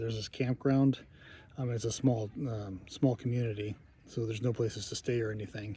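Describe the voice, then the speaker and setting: A soft-spoken man talks at a medium pitch and a moderate pace, with fairly even intonation. His voice is somewhat breathy, with a dark, mellow tone. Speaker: long-distance hiker vlogger. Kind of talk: video diary. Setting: outdoors, campground. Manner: hesitant, many fillers.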